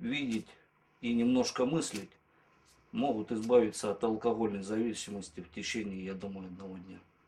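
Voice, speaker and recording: A man's voice has a dark, mellow tone. He speaks at a moderate pace. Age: 30s. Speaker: former drinker giving a course testimonial. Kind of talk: testimonial interview.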